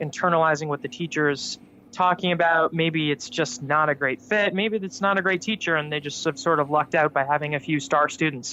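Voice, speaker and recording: A man with a fairly high pitch speaks at a fairly quick pace, using ordinary pitch variation. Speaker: professional tenor soloist. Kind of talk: casual chat.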